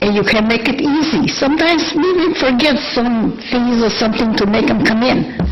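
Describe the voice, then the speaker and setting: A woman speaks at a moderate pace with a fairly high pitch and ordinary pitch variation. Audible room echo surrounds her voice. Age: 80s+. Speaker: public commenter at council meeting. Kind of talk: public comment. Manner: halting.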